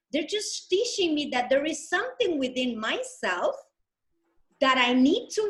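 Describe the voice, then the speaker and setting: A woman with a non-native accent speaks in an animated tone at an extremely high pitch, her pitch swinging very widely. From Dominican Republic. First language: Spanish. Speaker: healer and coach. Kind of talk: interview.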